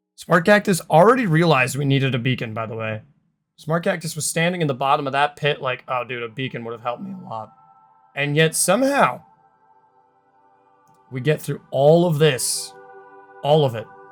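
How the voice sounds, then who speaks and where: With music in the background, a man with a fairly high pitch speaks with big swings in loudness. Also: fairly quick pace. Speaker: gaming YouTuber. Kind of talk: game commentary voice-over. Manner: casual, joking.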